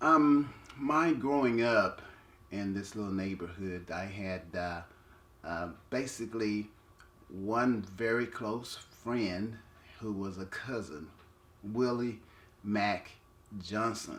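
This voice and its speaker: Speaking in an American accent, a man with a fairly low pitch and ordinary pitch variation goes at a very slow pace with long, frequent pauses and audible room echo. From Texas, Conroe. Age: 60s. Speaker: community elder. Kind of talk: oral history interview. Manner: halting.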